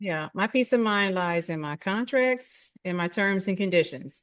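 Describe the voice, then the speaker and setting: Against a quiet background, a woman talks at a fairly slow pace with a slight Philadelphia accent. Her medium-pitched voice has lively intonation. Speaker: podcast host. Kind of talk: casual interview chat.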